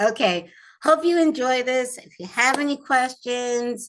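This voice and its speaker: Lively intonation from a woman at a very slow pace. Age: 60s. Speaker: lifestyle YouTuber. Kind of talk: casual vlog tutorial. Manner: casual, halting with fillers.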